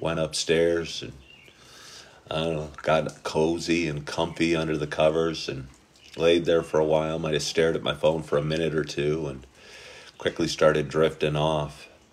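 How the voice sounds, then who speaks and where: Very deep and low, a man's voice moves at a moderate pace in a monotone, flat intonation. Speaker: live stream host. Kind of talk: casual vlog chat. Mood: relaxed, good-humored. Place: home room. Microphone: phone near.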